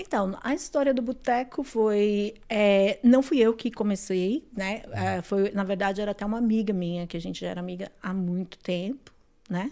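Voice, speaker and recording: A woman with a dark, mellow tone and medium pitch speaks at a moderate pace with ordinary pitch variation and hardly any pauses, on a very clean recording with a silent background. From São Paulo, Brazil (grew up in Guarulhos). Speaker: restaurant owner. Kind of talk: casual chat.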